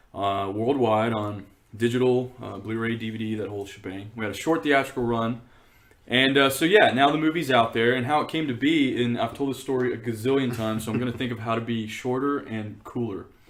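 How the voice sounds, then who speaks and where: Over noticeable background noise and audible room echo, a man of medium pitch talks at a fairly quick pace with ordinary pitch variation. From East Texas. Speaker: documentary filmmaker. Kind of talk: casual interview.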